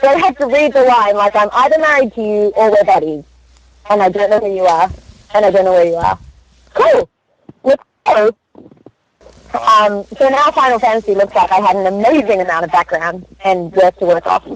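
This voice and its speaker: Lively intonation and an Australian accent come through at a fairly quick pace. There are long, frequent pauses, and the sound is dry and close with no echo. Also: woman, medium pitch for a woman. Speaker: voice actress. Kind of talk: interview.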